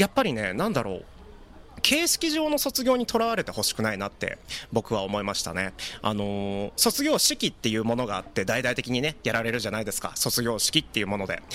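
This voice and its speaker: Talking at a fairly quick pace, a man is heard through noticeable background noise. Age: 20s. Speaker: podcast host. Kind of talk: solo monologue podcast. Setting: live stream recording. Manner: casual, filler-heavy.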